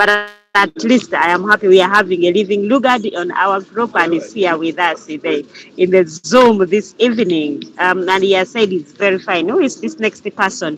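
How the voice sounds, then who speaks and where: A woman speaks at medium pitch and a moderate pace. Her pitch variation is ordinary, with music in the background. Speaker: group leader / crypto trainer. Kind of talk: online group Q&A session. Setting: Zoom video call. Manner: halting, repetitive.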